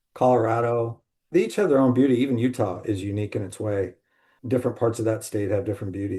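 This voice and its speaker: A man's medium-pitched, dark, mellow and somewhat breathy voice with an American accent, very fast, against a quiet background. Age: 60s. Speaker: salesman in alcohol recovery. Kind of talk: podcast interview.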